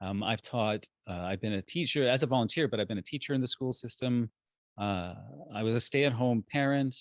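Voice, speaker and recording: Medium pitch from a man, fairly quick pace, and ordinary pitch variation. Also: dry, close sound with no echo. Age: 50s. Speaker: parenting educator. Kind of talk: talk. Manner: halting.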